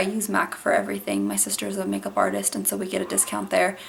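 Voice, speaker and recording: Through noticeable background noise, a woman speaks at a very fast pace. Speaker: mom vlogger. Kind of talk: casual vlog talk.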